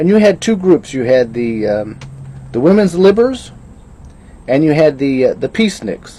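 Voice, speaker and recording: A man with an American accent speaks in very wide pitch swings over noticeable background noise. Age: 60s. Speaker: video blogger. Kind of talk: casual monologue. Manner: halting.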